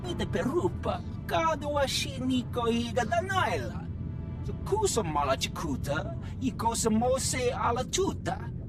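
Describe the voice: Over loud background music, a man in a put-on character voice speaks at a fairly slow pace, his extremely high pitch making big swings.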